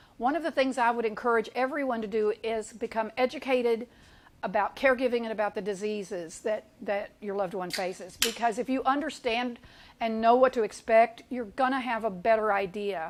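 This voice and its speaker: Speaking at a fairly quick pace, a woman with a fairly high pitch shows ordinary pitch variation. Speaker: senior resource center program coordinator. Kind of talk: presentation to caregivers. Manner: fast.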